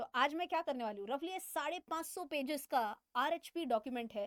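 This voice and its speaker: A woman with a non-native accent and a high pitch speaks at a moderate pace with lively intonation, the sound dry and close with no echo. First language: not Hindi (speaking Hindi). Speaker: finance educator, chartered accountant. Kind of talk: financial explainer tutorial. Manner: halting with fillers; casual, conversational.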